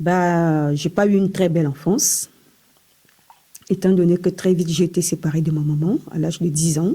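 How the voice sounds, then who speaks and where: Fairly even intonation at a fairly slow pace. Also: woman. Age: 40s. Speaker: hospital worker sharing testimony. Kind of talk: testimony.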